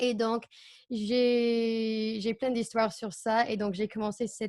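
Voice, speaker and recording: Recorded very cleanly against a silent background, the dry, close sound with no echo carries a woman's fairly high voice, fairly slow and with an American accent. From United States. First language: English (speaking French). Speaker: au pair agency co-founder. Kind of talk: interview. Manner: halting.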